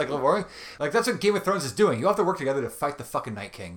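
On a very clean recording with a silent background, a man speaks with vocal fry and a New York accent. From Long Island, New York. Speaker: bassist and father. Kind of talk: casual interview.

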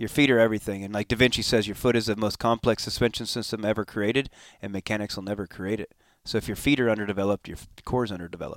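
A man with a Californian accent speaks at a very fast pace in a fairly low pitch, with fairly even intonation and big swings in loudness. The recording is very clean, with a silent background and a dry, close sound with no echo. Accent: Californian American English. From Southern California (Escondido). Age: 40s. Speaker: former pro motocross racer and riding coach. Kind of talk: interview, casual conversation. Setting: recorded at a conference venue.

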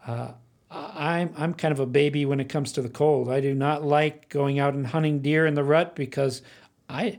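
A man with a fairly high pitch and a normal speaking voice talks at a moderate pace in a very clean recording with a silent background. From Arizona (Phoenix). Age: 60s. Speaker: bowhunter. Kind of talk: interview.

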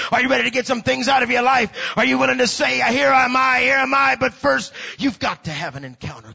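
A man with a high pitch speaks at a fairly quick pace in an animated tone, with hardly any pauses. His pitch swings very widely and his loudness shifts a lot. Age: 40s. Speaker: preacher. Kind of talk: sermon.

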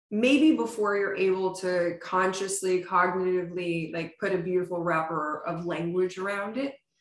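A woman with an American accent and an ordinary speaking voice talks at a medium pitch and a moderate pace, with ordinary pitch variation and hardly any pauses. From US Northeast, Pennsylvania (Poconos). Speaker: startup founder and CEO. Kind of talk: casual interview.

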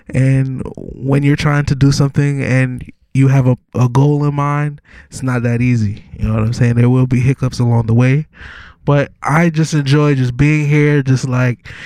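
With a New York accent, a man speaks at a moderate pace in a medium pitch, his intonation monotone and flat and his tone dark and mellow. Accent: New York (Brooklyn) hip-hop speech. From New York City, Brooklyn. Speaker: rapper. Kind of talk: casual interview.

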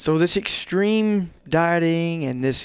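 Here is a man with an American accent, an ordinary speaking voice and a fairly high pitch. His intonation is lively, and the recording is very clean with a silent background. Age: 30s. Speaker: guest. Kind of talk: casual chat. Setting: studio.

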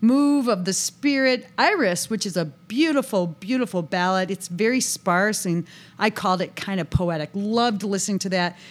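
A woman has an unremarkable speaking voice of medium pitch and an American accent. She keeps a moderate pace with lively intonation and hardly any pauses. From US, western New York near Buffalo. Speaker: saxophone teacher and podcast co-host. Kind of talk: casual chat.

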